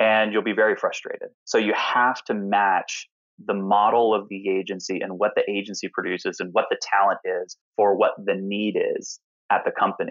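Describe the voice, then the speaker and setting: At a moderate pace, a man talks with a slight Southern US accent. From US South, Alpharetta, Georgia. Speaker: chief creative and strategy officer. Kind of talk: interview.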